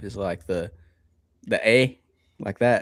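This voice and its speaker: Music can be heard behind the voice. A man talks at a moderate pace. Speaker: podcast co-host. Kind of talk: casual chat.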